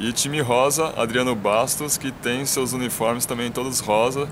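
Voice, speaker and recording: A man's fairly even intonation comes through over noticeable background noise. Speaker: running channel host. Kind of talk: casual vlog chat. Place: street. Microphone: phone near.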